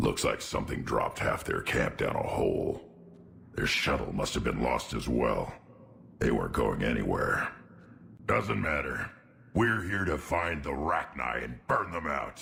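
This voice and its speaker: A man uses a put-on character voice, very deep and low in pitch. It sounds raspy, with light background noise. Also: moderate pace. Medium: video game. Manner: gruff, blunt, eager for battle.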